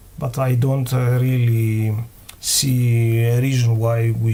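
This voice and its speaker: Heard over noticeable background noise and audible room echo, a man with a non-native accent speaks very slowly at a medium pitch in a flat monotone. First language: not English. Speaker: game developer. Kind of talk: live Q&A stream. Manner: halting, many fillers.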